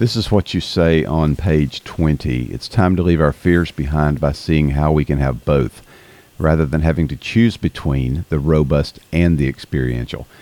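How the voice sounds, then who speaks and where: With a strong Southern US accent, a man talks in a very deep, low pitch and ordinary pitch variation. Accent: strong Southern US drawl. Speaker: podcast host. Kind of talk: interview, casual chat. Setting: remote call with guest.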